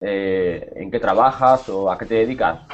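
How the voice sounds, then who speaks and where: A man speaks very slowly, his intonation lively throughout. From Spain, Cáceres (Extremadura). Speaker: Spanish teacher. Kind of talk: online language class. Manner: hesitant, with many repetitions.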